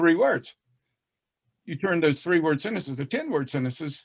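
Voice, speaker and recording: Speaking at a fairly quick pace, a man with an American accent uses lively intonation at a fairly high pitch. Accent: Southern US, moderate, masked by fast speech. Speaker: reading educator. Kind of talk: casual panel discussion. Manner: drops g in -ing endings.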